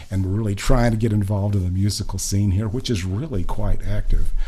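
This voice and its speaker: Noticeable background noise and audible room echo surround the man as he talks. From Oklahoma. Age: 70s. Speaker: singer-songwriter, retired nurse. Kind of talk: casual interview chat.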